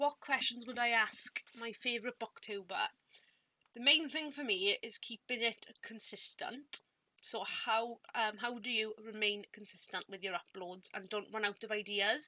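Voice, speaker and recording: A woman with a Welsh accent speaks in a fairly high voice, with ordinary pitch variation. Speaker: booktuber. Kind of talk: casual talk to camera, partly scripted. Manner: halting, repeated words. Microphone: some audio issues.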